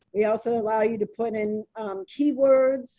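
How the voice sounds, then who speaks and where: This woman's voice has a dark, mellow tone. Her pitch sits fairly high. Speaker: company founder and CEO. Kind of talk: software demo walkthrough. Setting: video call webinar. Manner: fast.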